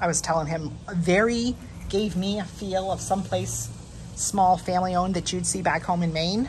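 With light background noise behind her, a woman talks in a fairly low pitch with vocal fry and fairly even intonation. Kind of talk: casual vlog chat. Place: cafe. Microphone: phone near.

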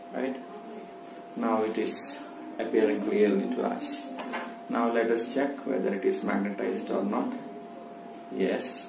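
A man speaks fairly slowly, pausing long and often, while noticeable background noise sits underneath. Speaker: science teacher. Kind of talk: tutorial. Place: home room. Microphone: phone near.

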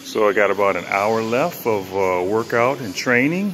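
Fairly low-pitched man at a fairly slow pace, with faint music in the background. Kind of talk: casual vlog chat. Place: gym. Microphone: phone near.

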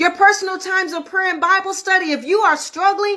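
Against a quiet background, a woman projects a raised voice with a bright, sharp tone at a moderate pace. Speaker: minister leading online prayer meeting. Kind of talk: sermon. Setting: livestream. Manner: warm, affectionate. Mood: warm, earnest, exhorting. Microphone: phone near.

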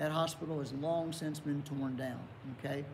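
Light background noise sits behind a man with an Appalachian accent and a fairly high pitch. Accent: Appalachian American. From southern West Virginia (Welch area); West Virginia. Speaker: pastor. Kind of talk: Bible study lesson. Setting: online video recording. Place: church.

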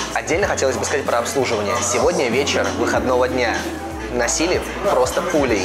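Loud music plays in the background as a man talks at a very fast pace. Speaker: restaurant reviewer host. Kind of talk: review commentary to camera. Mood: upbeat, pleased. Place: bar. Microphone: lapel.

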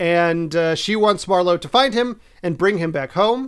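This man has a high-pitched voice with ordinary pitch variation. The background is quiet. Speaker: podcast co-host. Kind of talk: plot summary for a film podcast. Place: home room.

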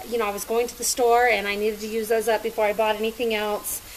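Light noise sits in the background behind the female speaker. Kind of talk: casual cooking tutorial chat. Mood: relaxed, chatty. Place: kitchen. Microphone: camera far.

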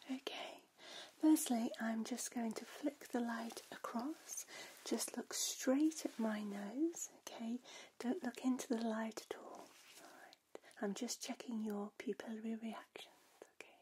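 Soft-spoken and dark, mellow in tone, a woman talks at a fairly slow pace with ordinary pitch variation and big swings in loudness over light background noise. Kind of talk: ASMR role-play, soft personal attention. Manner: soft-spoken, calm ASMR examiner voice.

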